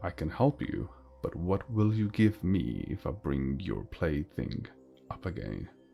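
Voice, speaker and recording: Putting on a character voice, a man speaks fairly slowly with a very deep, low pitch. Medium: read story.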